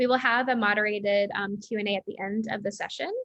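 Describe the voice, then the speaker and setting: A woman with an American accent speaks at a moderate pace in a fairly high, bright, sharp voice. The sound is dry and close with no echo. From United States. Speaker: education company CEO, former science teacher. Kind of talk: webinar hosting. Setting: online webinar.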